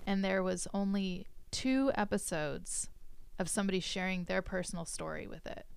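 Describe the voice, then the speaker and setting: A woman with an ordinary speaking voice and an American accent, a medium pitch, ordinary pitch variation and a moderate pace. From California Central Coast. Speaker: podcast host and dance instructor. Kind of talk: casual chat; promotional announcement.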